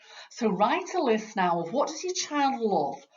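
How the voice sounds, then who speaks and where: A woman with a Yorkshire accent speaks in a fairly high pitch with very wide pitch swings. Her voice is somewhat breathy. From Yorkshire, northern England. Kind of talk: training talk for parents. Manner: conversational, uses fillers.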